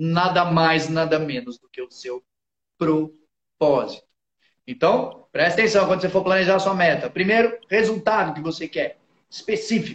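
An animated tone comes through, and the pitch varies in an ordinary way. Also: man, high pitch for a man, moderate pace. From interior of São Paulo state, Brazil. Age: 30s. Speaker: motivational speaker. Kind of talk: casual chat.

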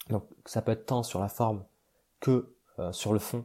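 A man speaks at a moderate pace and medium pitch in a flat monotone, his tone dark, mellow and somewhat breathy. The recording is very clean over a silent background. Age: 20s. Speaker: podcast host. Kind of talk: casual monologue. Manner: halting, many fillers.

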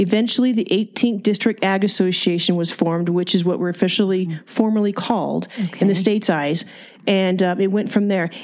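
An unremarkable speaking voice runs at a fairly quick pace with fairly even intonation. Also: woman, medium pitch for a woman. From California, Ventura County (Fillmore). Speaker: fairgrounds CEO. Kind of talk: interview, casual chat.

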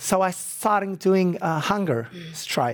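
A man speaks with an Arabic accent. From Iraq, Baghdad, with years in London as a child. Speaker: former war translator and film subject. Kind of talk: interview testimony. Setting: stage taping with audience. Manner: halting, many fillers.

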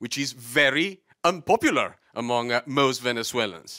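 A man talks at a moderate pace in a medium pitch with a bright, sharp tone. The recording is very clean and silent in the background, with a dry, close sound and no echo. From Latin America. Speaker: audience member. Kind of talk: studio debate. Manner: halting.

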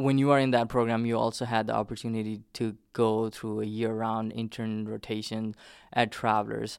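A man speaks in a Nepali accent at a moderate pace, with medium pitch and monotone, flat intonation. The recording is very clean, with a silent background. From Nepal, southern plains. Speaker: immigrant. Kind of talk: oral history interview.

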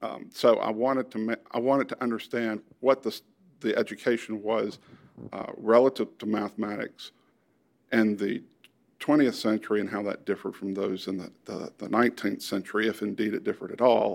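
At a fairly quick pace, a man with a medium pitch talks with fairly even intonation. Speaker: mathematics historian. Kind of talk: interview. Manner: halting, many fillers.

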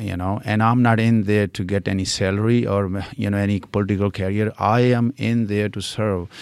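A man speaks with an Indian accent at a moderate pace. His pitch is fairly low. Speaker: local political candidate. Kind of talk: interview. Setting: library recording studio. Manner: animated.

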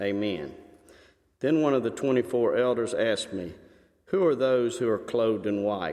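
Lively in intonation, a man speaks at a medium pitch and a fairly slow pace. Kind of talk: scripture reading. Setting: church.

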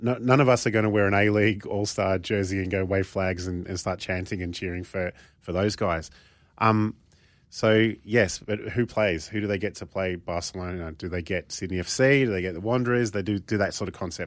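A man with an Australian accent, a fairly low pitch and fairly even intonation, at a fairly quick pace, in a very clean recording with a silent background. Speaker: football pundit. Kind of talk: casual chat.

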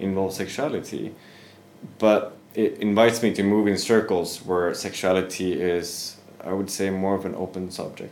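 A man with a Swedish accent, a very deep, low pitch, fairly even intonation and a moderate pace. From Sweden. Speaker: yoga teacher. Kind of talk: casual interview.

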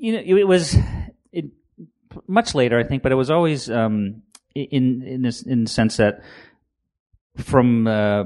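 Over a quiet background, a man with an American accent talks at a medium pitch. He has an ordinary speaking voice and a moderate pace. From Maine, US. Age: 50s. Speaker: comic book creator. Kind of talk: interview.

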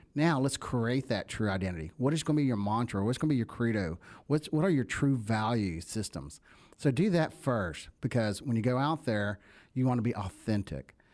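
A man with a Southern US accent and lively intonation, in a very clean recording with a silent background. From US South. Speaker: networking founder and speaker. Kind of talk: casual interview chat.

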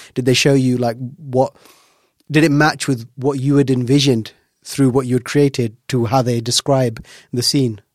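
Speaking with a British accent, a man keeps a medium pitch and a flat, monotone delivery at a moderate pace. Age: 30s. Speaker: podcast host. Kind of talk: interview. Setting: studio.

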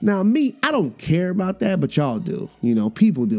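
Someone with an American accent talks at a moderate pace with lively intonation. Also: man. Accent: New York, comes out when angry. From New York. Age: 40s. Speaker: podcast host, educator and rapper. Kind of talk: casual monologue. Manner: animated, hesitant with fillers.

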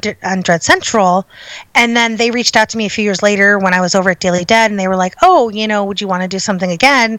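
With an American accent, a woman uses an ordinary speaking voice at medium pitch with ordinary pitch variation. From Chicago, US Midwest. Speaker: horror writer and editor. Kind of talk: interview.

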